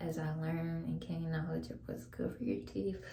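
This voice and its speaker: Audible room echo and noticeable background noise around a speaking woman. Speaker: vlogger. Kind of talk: casual chat. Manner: soft-spoken.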